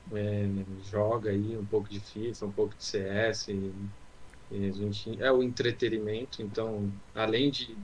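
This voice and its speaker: A man speaks at a fairly slow pace, somewhat breathy, in a fairly low pitch. His intonation is monotone and flat, with long, frequent pauses. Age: 20s. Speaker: podcast co-host. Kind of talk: casual chat. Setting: closed room at home, video call.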